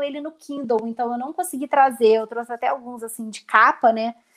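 A woman's high voice moves at a moderate pace with fairly even intonation. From Rio de Janeiro, Brazil. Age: 30s. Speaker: lawyer and organization content creator. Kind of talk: casual interview on a livestream. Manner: talkative, long-winded.

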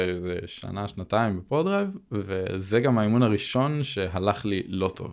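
A man speaks with a fairly low pitch and ordinary pitch variation in a plain, everyday voice. The recording is very clean, with a silent background. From Israel, Binyamina. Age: 20s. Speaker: racing driver and driving coach. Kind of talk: casual interview chat.

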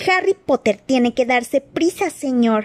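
Using a put-on character voice, a woman sounds high-pitched, squeaky and shrill. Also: moderate pace. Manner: urgent, anxious.

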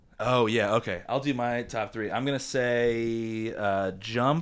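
Speaking with an American accent, this unremarkable speaking voice keeps a fairly even intonation. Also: man. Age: 30s. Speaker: podcast host. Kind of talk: casual chat.

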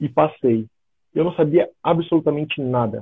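A plain, everyday voice at a fairly slow pace. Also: man. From Brazil, São Paulo state (São José dos Campos). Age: 30s. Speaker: American football linebacker. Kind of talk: casual live-stream interview.

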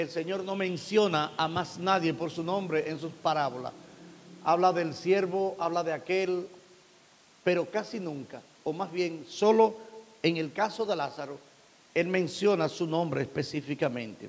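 This man has a high voice and speaks at a fairly slow pace with ordinary pitch variation. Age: 50s. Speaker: pastor. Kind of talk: sermon.

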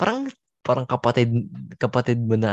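A man's medium-pitched voice with very wide pitch swings, dry and close with no echo, over a quiet background. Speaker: podcast co-host, college student. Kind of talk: casual chat.

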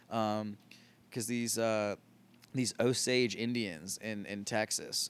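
A man with an American accent uses an ordinary speaking voice, fairly low in pitch with fairly even intonation, in a very clean recording with a silent background. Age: 30s. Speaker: comedian. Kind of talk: casual chat.

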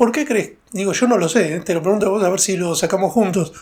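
A man with a high-pitched voice talks at a fairly quick speed. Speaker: podcast host and stand-up comedian. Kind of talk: casual interview chat.

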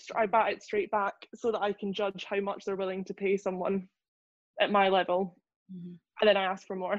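With a Scottish accent, the speaker moves at a fairly quick pace in a monotone, flat delivery, pausing long and often. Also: woman, medium pitch for a woman. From Scotland, Lothian. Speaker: journalist. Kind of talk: casual chat.

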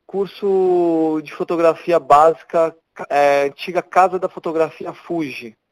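Speaking at a very slow pace, a man uses a high pitch and fairly even intonation, with a dry, close sound and no echo. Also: big swings in loudness. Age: 40s. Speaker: photojournalist and photo editor. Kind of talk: casual interview. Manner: halting, many repetitions.

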